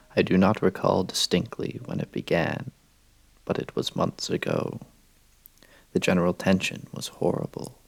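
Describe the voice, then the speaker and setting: A soft-spoken man whispering at a moderate pace, with long, frequent pauses. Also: dry, close sound with no echo. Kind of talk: soft-spoken horror story reading. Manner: soft-spoken, whispery ASMR.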